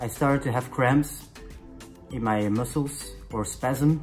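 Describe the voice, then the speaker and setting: Spoken in a French accent at a fairly slow pace, the voice keeps fairly even intonation over faint music in the background. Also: man. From Belgium. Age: 30s. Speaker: chef. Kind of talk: casual talk to camera. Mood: earnest, personal, somewhat tired. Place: home room. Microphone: phone near.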